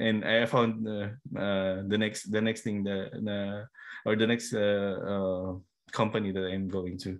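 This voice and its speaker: Speaking at a very slow pace, a man with a fairly low pitch keeps a monotone, flat intonation. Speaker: podcast host. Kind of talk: casual interview chat. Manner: halting, code-switching Taglish with fillers.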